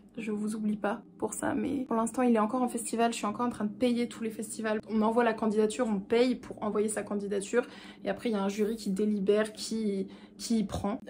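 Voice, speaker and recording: Fairly quick, flat and monotone, a woman's fairly high voice over noticeable background noise. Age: 20s. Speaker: actress. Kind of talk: casual talk to camera.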